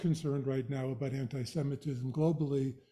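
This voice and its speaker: The voice has a dark, mellow tone. The pace is fairly quick. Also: man. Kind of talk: lecture.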